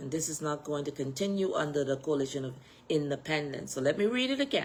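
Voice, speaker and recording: A woman with a very deep, low voice and a Bahamian accent, animated in tone and very fast, with ordinary pitch variation. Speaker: political party executive and candidate. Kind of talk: political address on social media live video.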